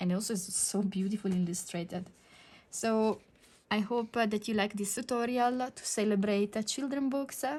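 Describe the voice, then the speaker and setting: A somewhat breathy woman with an Italian accent speaks at a moderate pace, her pitch fairly high with ordinary variation. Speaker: digital art teacher. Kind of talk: tutorial. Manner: halting, many fillers.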